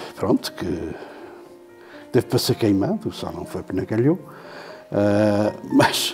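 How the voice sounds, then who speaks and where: A man is speaking. Music plays in the background. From Terceira island, Azores, Portugal. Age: 70s. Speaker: poet. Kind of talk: interview answer. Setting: studio.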